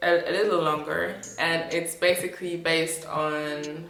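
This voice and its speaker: A woman with a non-native accent speaks at a fairly low pitch with fairly even intonation. Music plays in the background, and there is audible room echo. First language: not English. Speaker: vlogger. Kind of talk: personal vlog monologue. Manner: halting, many fillers.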